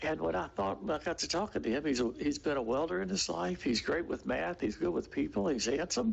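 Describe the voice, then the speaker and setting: A man talks at a fairly quick pace with hardly any pauses, his fairly high pitch making very wide swings. His loudness stays very even, and vocal fry runs through his voice. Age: 80s+. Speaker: resident speaking at public comment. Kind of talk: public comment at city meeting. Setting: city commission meeting.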